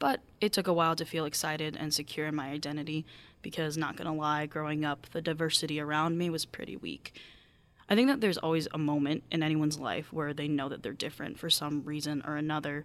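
Speaking very fast in a very deep, low voice, a woman with a Midwestern American accent is heard on a very clean recording with a silent background. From US Midwest. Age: 20s. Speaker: podcast host, college student. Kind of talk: podcast monologue and interview.

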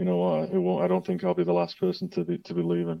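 A man talks with a Yorkshire accent. His pace is very fast. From Sheffield, northern England. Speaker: professional ice hockey player. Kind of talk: interview. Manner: halting, many fillers.

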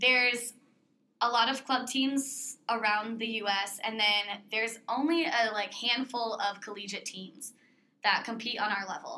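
A woman with an American accent, an ordinary speaking voice, and a fairly high pitch, at a moderate pace with fairly even intonation. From US Midwest, small-town Indiana. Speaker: college synchronized swimmer. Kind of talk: interview.

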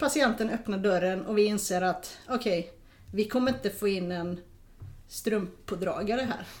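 A plain, everyday voice from a woman, medium in pitch, moderate in pace, with ordinary pitch variation. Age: 40s. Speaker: occupational therapist. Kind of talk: casual interview.

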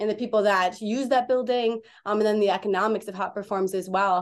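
A woman speaks very fast with an American accent, her pitch fairly high. Her intonation stays fairly even against a quiet background. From Wisconsin. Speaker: construction management business owner. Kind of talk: podcast interview.

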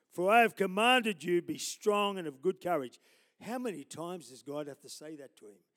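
Speaking very fast with lively intonation, a man talks in an Australian accent. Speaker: preacher. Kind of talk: sermon. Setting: church. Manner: animated.

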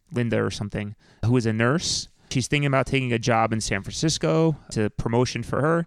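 Recorded very cleanly against a silent background, a man with an ordinary speaking voice and medium pitch talks at a fairly quick pace with ordinary pitch variation. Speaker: podcast host. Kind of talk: casual chat. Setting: studio.

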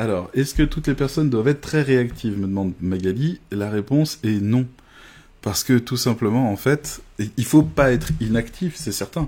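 Somewhat breathy and dark, mellow in tone, a man talks at a moderate pace with lively intonation. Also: medium pitch for a man. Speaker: online course creator. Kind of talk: live stream sales pitch. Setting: live video stream. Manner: hesitant, many fillers.

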